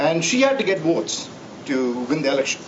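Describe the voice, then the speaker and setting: A man speaks with a Tamil accent. Audible room echo and noticeable background noise are present. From India, Tamil-speaking south. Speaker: professor. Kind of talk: tribute speech. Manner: halting, many fillers.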